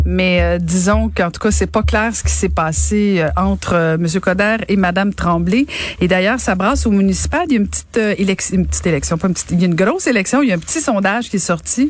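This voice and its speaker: Noticeable background noise sits behind this clip. A woman talks at a fairly quick pace. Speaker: radio co-host. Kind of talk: casual chat about news.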